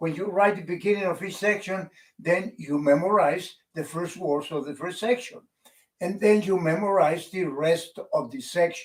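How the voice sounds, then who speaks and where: High-pitched man with a non-native accent and ordinary pitch variation. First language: not English. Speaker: public speaking coach. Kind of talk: tutorial.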